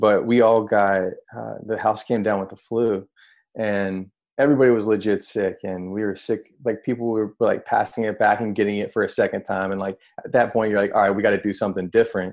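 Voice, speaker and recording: In a monotone, flat intonation, a man with an American accent and fairly low pitch talks at a fairly quick pace. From North Carolina, small town. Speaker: juice company co-founder. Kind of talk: casual interview chat.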